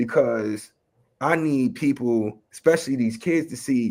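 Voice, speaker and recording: A man's medium-pitched voice with a dark, mellow tone, ordinary pitch variation and a slight New York accent. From Chicago West Side. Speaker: rapper and educator. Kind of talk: interview. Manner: casual.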